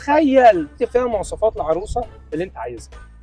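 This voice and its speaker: A man talks fairly quickly with music in the background. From Egypt. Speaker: actor and voice-over artist. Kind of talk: street interview questions, casual comedic. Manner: playful, joking.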